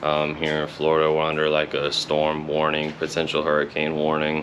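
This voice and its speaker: Over noticeable background noise, a man with a very deep, low pitch speaks at a moderate pace. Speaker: car hobbyist vlogger. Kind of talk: casual vlog. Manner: monotone; hesitant, many fillers.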